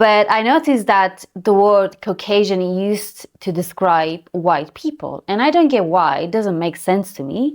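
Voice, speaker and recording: A woman with an Armenian accent, medium in pitch, moderate in pace with hardly any pauses and lively intonation, on a very clean recording with a silent background. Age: adult. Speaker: YouTuber. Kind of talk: personal vlog monologue.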